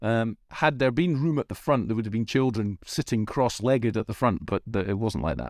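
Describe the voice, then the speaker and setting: At a fairly quick pace, a man with a normal speaking voice talks at a fairly low pitch with ordinary pitch variation. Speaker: podcast co-host. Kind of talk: casual chat, podcast discussion.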